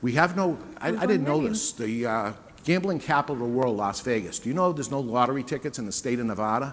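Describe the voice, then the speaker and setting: A man with a New England accent, medium-pitched, at a fairly quick pace. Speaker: business owner and author giving a talk. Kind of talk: sales pitch. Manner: conversational.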